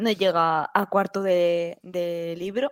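The recording is very clean, with a silent background. A woman speaks very slowly in a fairly low pitch, her intonation fairly even. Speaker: podcast host. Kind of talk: casual chat.

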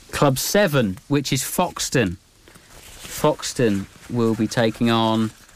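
Over noticeable background noise, a man with a medium pitch and ordinary pitch variation speaks at a very slow pace with long, frequent pauses and very even loudness. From Cambridge, England. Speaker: radio sports host. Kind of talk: radio sports show.

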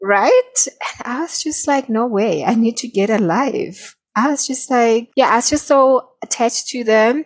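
Woman with a high pitch, lively intonation and a fairly slow pace. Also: hardly any pauses. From South Africa. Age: 30s. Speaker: shaman and coach. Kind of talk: interview.

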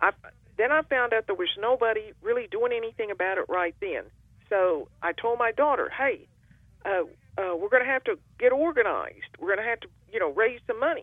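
A woman with an American accent speaks high in pitch at a fairly quick pace, with very wide pitch swings. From Oklahoma, Ponca City. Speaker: activist, lead plaintiff. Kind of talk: interview.

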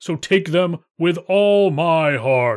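A man puts on a character voice, pitched high. The recording is very clean, with a silent background. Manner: boastful, then frightened.

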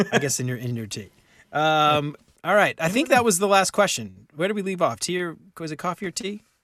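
A man speaks at a high pitch with very wide pitch swings and a bright, sharp tone. His fairly quick delivery sits in a very clean recording with a silent background. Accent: American. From US South, New Orleans. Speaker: podcast host. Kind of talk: casual chat. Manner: animated.

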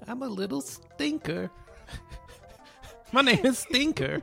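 Using a put-on character voice, a man speaks at a fairly slow pace with an extremely high pitch and very wide pitch swings while clear music plays in the background. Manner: verbal tic of repeating own name.

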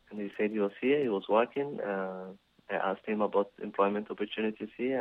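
A man speaks with a Somali accent. His pitch is fairly low, and his intonation stays fairly even. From Somalia. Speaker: business owner and community volunteer. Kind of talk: interview.

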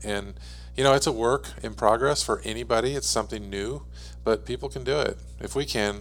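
Vocal fry runs through a man's voice. He talks at a fairly quick pace with very wide pitch swings. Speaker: guest, husband and business partner. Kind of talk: casual chat.

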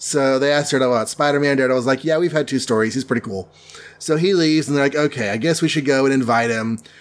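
Ordinary pitch variation in natural-voiced reading aloud

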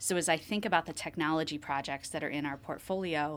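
With a Midwestern US accent, a woman talks in a fairly low pitch with ordinary pitch variation on a very clean recording with a silent background. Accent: US Midwest. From Ohio, around Columbus. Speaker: managing director at an accounting firm. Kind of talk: interview.

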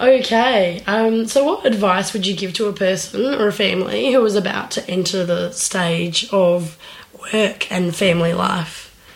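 Noticeable background noise sits behind a woman speaking at a moderate pace. Her medium-pitched voice has ordinary pitch variation. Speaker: podcast host and working parent. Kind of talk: casual interview chat.

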